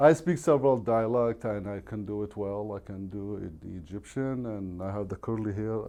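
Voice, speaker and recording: In an Arabic accent, the speaker uses a dark, mellow tone and ordinary pitch variation, with hardly any pauses. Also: man. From Iraq. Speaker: real estate agent. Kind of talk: podcast interview.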